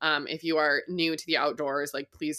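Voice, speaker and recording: A woman's bright, sharp voice with an American accent and monotone, flat intonation, on a very clean recording with a silent background. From Colorado. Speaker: outdoor adventure creator. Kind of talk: casual chat.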